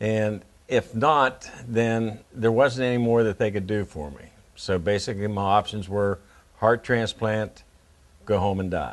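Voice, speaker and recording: With an Appalachian accent, a man talks at a fairly slow pace and a fairly low pitch. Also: ordinary pitch variation. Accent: Appalachian American. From West Virginia, Morgantown. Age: 60s. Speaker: heart patient. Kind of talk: interview testimony. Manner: halting, many fillers.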